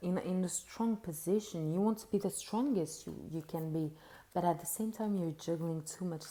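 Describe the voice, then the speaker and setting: Speaking at a moderate pace, a woman uses a dark, mellow tone and a fairly low pitch that varies in an ordinary way. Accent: non-native. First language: not English. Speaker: tarot reader. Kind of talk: tarot reading monologue. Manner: halting, many fillers and repeats.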